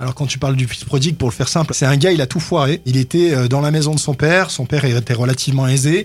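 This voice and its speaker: A man with a fairly high, somewhat breathy voice talks at a fairly quick pace with ordinary pitch variation. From France, Grenoble. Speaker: pastor. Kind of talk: radio interview. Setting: radio studio.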